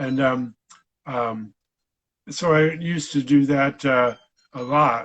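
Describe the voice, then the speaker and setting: Speaking with an Upper Midwest US accent, a man with a fairly high pitch talks at a very slow pace, with long, frequent pauses and fairly even intonation. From Michigan. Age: 60s. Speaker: veterinarian and stroke survivor. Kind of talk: interview. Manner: halting, many fillers.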